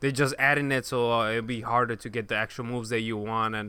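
A man with a bright, sharp tone in a very clean recording with a silent background. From Chicago. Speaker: podcast co-host. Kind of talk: casual chat.

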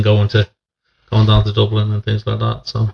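With an East Midlands accent, a man talks at a fairly quick pace in a fairly low, monotone, flat voice with vocal fry.

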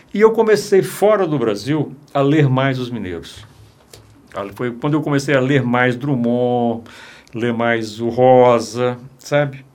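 A man's very slow speech with long, frequent pauses and audible room echo. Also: medium pitch for a man, lively intonation. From Minas Gerais, Brazil. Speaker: filmmaker. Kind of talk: interview conversation. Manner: halting, with many repetitions.

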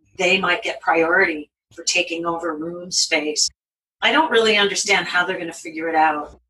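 In an unremarkable speaking voice, a woman talks fairly low at a moderate pace, her intonation fairly even but her loudness swinging widely. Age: 60s. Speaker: creative writing professor. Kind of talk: panel discussion.

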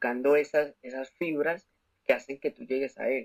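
A man with a fairly high pitch at a fairly slow pace, in a dry, close sound with no echo. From Colombia, Bogotá. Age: 20s. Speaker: commercial pilot and motivational speaker. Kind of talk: testimony.

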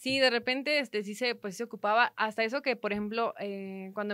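Fairly quick talk in an unremarkable speaking voice, marked by ordinary pitch variation. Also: woman. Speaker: entrepreneur and sports photographer. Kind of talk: interview conversation.

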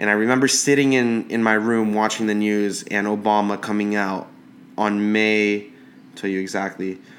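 Using a normal speaking voice, a man talks at a moderate pace with fairly low pitch and fairly even intonation. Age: 20s. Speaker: podcast host reviewing cigars. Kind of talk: casual monologue.

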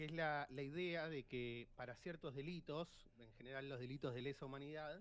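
With an Argentine accent, this man speaks in a fairly high voice. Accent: Rioplatense Argentine Spanish. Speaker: financial advisor. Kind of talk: casual chat.

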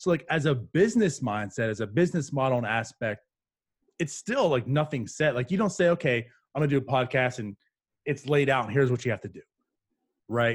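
Somewhat breathy and medium in pitch, a man talks with long, frequent pauses. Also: lively intonation, fairly quick pace, very clean recording, silent background. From western Pennsylvania. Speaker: podcast host. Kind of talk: casual interview. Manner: soft-spoken.

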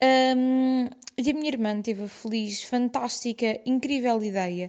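High in pitch with a dark, mellow tone, a woman speaks with fairly even intonation. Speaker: listener sharing a story. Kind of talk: voice message storytelling. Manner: halting.

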